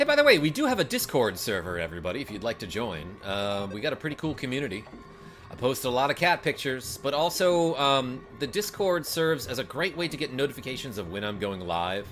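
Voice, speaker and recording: A man talks at a very fast pace over background music. His pitch is medium for a man, with very wide swings. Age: 30s. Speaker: gaming streamer. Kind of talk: live stream chat. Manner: animated.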